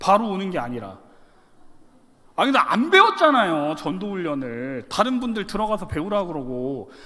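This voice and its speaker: A man's bright, sharp, raised and projected voice, pitched high, with very wide pitch swings and audible room echo. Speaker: pastor. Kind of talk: sermon. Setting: church. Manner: fast; animated.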